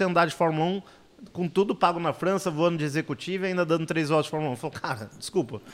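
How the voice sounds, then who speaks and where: A man's voice, high in pitch. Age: 40s. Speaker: motorsport journalist. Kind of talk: casual interview.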